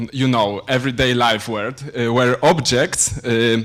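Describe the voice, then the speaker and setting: In a Polish accent, a man speaks fairly slowly at a medium pitch. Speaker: PhD student lecturer. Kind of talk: lecture. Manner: halting, many fillers.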